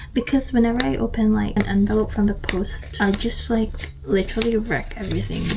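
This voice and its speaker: A woman speaks at a fairly quick pace with very even loudness. Noticeable background noise runs underneath. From Philippines, Dumaguete City. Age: 20s. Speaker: trainee cabin crew member. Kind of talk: casual vlog talk to camera.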